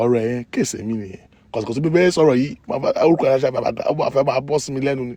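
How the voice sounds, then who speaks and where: A man talks very fast in a fairly high pitch with a dark, mellow tone and ordinary pitch variation. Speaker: gossip vlogger. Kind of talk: casual storytelling live stream.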